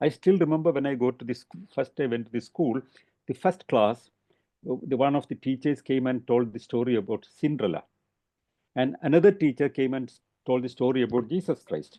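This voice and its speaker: With a Keralan accent, a man speaks at a medium pitch with ordinary pitch variation. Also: fairly quick pace. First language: Malayalam. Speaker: rationalist speaker. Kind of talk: talk. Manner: halting.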